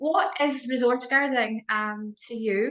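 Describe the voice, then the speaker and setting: The speaker is a woman with a bright, sharp tone. She talks at a fairly slow pace. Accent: Scottish. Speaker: dog behaviour host, interviewer. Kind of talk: interview chat. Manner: hesitant, many fillers.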